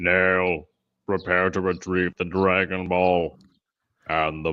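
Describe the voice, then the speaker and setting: In a put-on character voice, a man speaks fairly slowly with a very deep, low pitch and monotone, flat intonation. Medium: voice reel. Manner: pompous, self-important.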